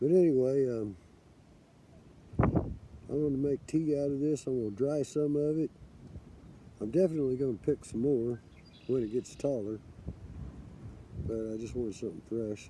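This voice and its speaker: A man with an American accent, moderate pace, ordinary pitch variation and long, frequent pauses. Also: medium pitch for a man. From US Midwest, Kansas City. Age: 60s. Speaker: forager vlogger. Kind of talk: casual vlog monologue.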